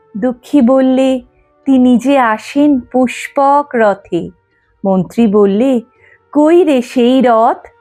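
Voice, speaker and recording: A woman's high-pitched voice at very even loudness, with ordinary pitch variation and music in the background. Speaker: poetry reciter. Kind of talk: poetry reading.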